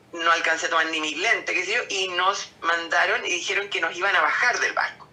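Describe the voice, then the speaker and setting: A woman with a fairly low pitch talks at a fairly quick pace while music plays in the background. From Chile. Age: 70s. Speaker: COVID-19 survivor. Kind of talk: interview answer, personal testimony.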